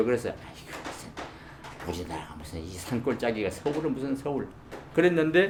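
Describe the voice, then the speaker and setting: Against noticeable background noise, a soft-spoken man talks at a fairly quick pace with very wide pitch swings. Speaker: retired broadcast announcer. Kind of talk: interview answer. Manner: storytelling, humorous, soft-spoken.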